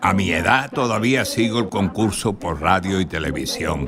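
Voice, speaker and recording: A man talks at a very slow pace while music plays in the background. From Spain, Cádiz (Andalusia). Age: 80s+. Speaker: documentary narrator. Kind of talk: scripted narration.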